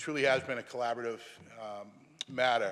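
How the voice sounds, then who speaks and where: Very fast speech comes from a man. Nothing else is heard, the recording very clean with a silent background. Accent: Boston. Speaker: state senator. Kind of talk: legislative floor speech. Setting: senate chamber. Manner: formal.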